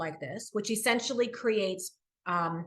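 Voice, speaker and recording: Her pitch ranges very widely. The woman talks at a fairly quick pace. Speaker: corporate diversity executive. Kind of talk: interview. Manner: fast.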